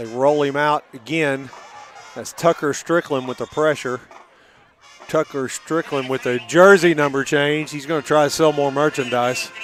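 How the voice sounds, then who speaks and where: Music plays in the background as a man speaks. His pitch is fairly high, his intonation fairly even, and his pace moderate. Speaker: high school football play-by-play announcer. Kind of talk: live commentary. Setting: in the stands at a high school football game. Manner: quiet, talking softly.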